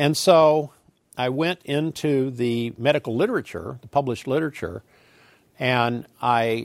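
A man with an ordinary speaking voice at a medium pitch and fairly slow pace, with ordinary pitch variation, in a very clean, silent-background recording with a dry, close sound and no echo. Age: 60s. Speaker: scientist lecturer. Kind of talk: lecture.

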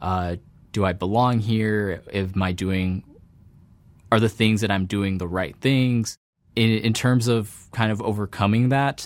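A plain, everyday voice from a man, fairly low in pitch, with fairly even intonation and a fairly slow pace, on a very clean recording with a silent background. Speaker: PhD student in computer science. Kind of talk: interview monologue. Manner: frequent fillers and self-corrections.

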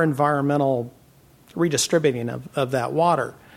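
A man with an American accent and a plain, everyday voice speaks at a moderate pace, his fairly high pitch showing ordinary variation. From California Central Valley. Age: 50s. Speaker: farmer. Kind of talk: panel discussion.

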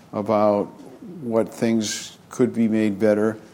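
Here a man with an American accent talks at a fairly slow pace in a fairly low pitch. His intonation is monotone and flat, and there is noticeable background noise. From US West Coast, San Francisco Bay Area. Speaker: physician and health policy professor. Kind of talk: interview.

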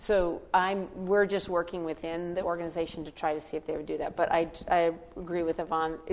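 A woman talks at a fairly quick pace in a fairly low pitch, with hardly any pauses. Her intonation is monotone and flat, and background noise is noticeable. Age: 60s. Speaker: banker and impact investor, keynote speaker. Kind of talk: keynote talk with audience Q&A. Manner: fast.

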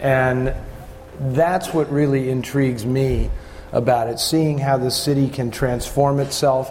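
A man talks at a fairly slow pace in a monotone, flat delivery. Noticeable background noise runs under his voice. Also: medium pitch for a man. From San Francisco. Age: 50s. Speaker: author and film historian. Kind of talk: panel discussion.

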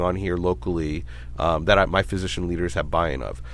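The pace is fairly quick, with lively intonation. Vocal fry runs through the voice. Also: man. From Brooklyn, New York; raised in Sacramento, California. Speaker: medical society CEO, former legislative staffer. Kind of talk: interview.

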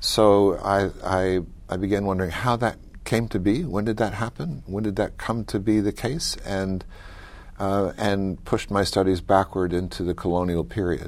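An unremarkable speaking voice, fairly low and with an American accent, belongs to a man who talks at a moderate pace with fairly even intonation on a very clean recording with a silent background. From US South, mountains of North Carolina. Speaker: professor. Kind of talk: interview.

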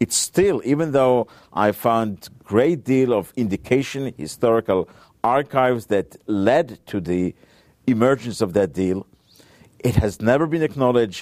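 With an Israeli accent and lively intonation, the speaker goes at a moderate pace in a dry, close sound with no echo. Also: man. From Israel, Tel Aviv area. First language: Hebrew. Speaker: author and nuclear policy researcher. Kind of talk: interview.

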